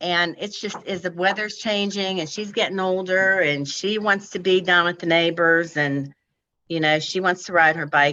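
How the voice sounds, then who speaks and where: A woman with a normal speaking voice, fairly low in pitch, with fairly even intonation at a moderate pace. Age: 60s. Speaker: applicant at zoning hearing. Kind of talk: public hearing testimony.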